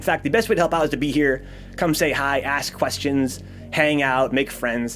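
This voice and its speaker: A man with a fairly high pitch at a fairly quick pace, ordinary pitch variation, and music in the background. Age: 30s. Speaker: streamer and programming teacher. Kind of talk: live-stream tutorial wrap-up. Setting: live stream. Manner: fast; stammering, many fillers.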